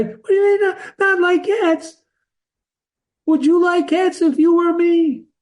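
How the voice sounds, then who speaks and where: A put-on character voice, shrill and extremely high, at a fairly slow pace with long, frequent pauses. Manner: passionate.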